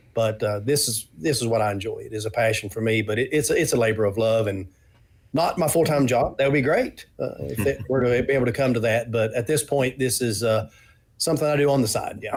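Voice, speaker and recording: Somewhat breathy and medium in pitch, a man speaks at a fairly quick pace with ordinary pitch variation. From Eastern Kentucky. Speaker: board game designer. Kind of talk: interview.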